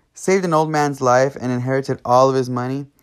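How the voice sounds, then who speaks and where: In a normal speaking voice, a man of medium pitch talks with an American accent on a very clean recording with a silent background. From California. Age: 20s. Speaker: podcast host. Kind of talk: personal monologue.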